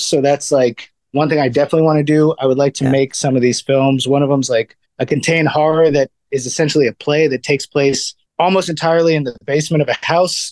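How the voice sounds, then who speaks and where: Here is a man with an unremarkable speaking voice, fairly high in pitch, in an American accent. He talks at a fairly quick pace, and the sound is dry and close with no echo. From US East Coast. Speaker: filmmaker and stand-up comedian. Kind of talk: casual interview chat.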